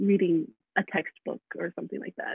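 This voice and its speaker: Her intonation stays fairly even as the woman speaks at a fairly slow pace. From US Midwest, Michigan. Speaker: college student. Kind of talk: interview. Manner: hesitant, many fillers.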